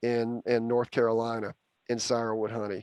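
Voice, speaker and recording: A man with a Southern US accent and a medium pitch speaks at a moderate pace on a very clean recording with a silent background, the sound dry and close with no echo. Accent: Southern US (Georgia). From Georgia, US South. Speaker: university bee expert. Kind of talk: Q&A talk.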